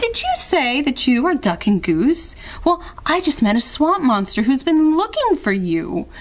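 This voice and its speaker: A woman puts on a character voice at a high pitch, swinging it very widely. She keeps a moderate pace over light background noise. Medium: read story. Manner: friendly.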